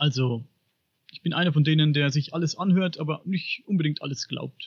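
A man with a fairly high pitch speaks at a moderate pace, varying his pitch in an ordinary way. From Upper Franconia, Bavaria, Germany. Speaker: podcaster on paranormal and UFO topics. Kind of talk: podcast interview.

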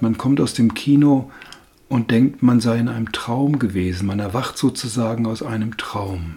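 A man with a medium pitch talks while noticeable background noise sits behind him. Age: old. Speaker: film podcast guest, host's grandfather. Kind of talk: casual film review chat.

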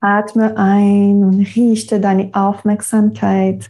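Very slowly and in a flat monotone, a woman talks at a medium pitch with a somewhat breathy, dark, mellow tone. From Quebec. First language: French (speaking German). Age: 30s. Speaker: yoga teacher. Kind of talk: guided meditation; interview. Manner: halting.

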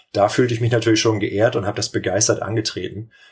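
Breathing audibly, a man speaks at a fairly quick pace with a fairly low pitch. His intonation is monotone and flat, and the recording is very clean with a silent background. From northern Germany, Lübeck area. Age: 30s. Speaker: volleyball coach and teacher. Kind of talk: podcast interview.

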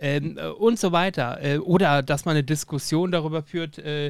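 At a moderate pace, a man uses a plain, everyday voice that is fairly high for him, with ordinary pitch variation. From Lower Saxony, Germany. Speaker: podcast host. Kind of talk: casual interview.

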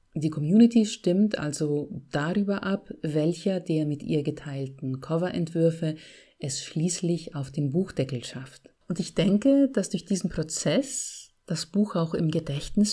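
Recorded very cleanly against a silent background, a woman with a Bavarian accent speaks at a very slow pace with hardly any pauses, her fairly low voice somewhat breathy and dark, mellow in tone, with lively intonation. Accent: Bavarian, rolled R. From Bavaria, Greek family. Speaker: podcast host and author. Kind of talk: solo podcast monologue. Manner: trained clear diction.

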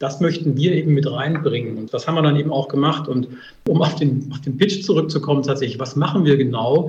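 In a plain, everyday voice, a man speaks fairly quickly at a fairly high pitch with fairly even intonation. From eastern Germany, Dresden. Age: 40s. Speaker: startup CEO. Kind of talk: interview. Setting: remote call from office.

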